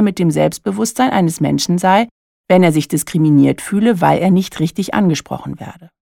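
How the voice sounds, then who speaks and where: This woman's voice sits fairly low and carries some vocal fry. She talks at a moderate pace with ordinary pitch variation. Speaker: coach and podcast host. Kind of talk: solo monologue podcast.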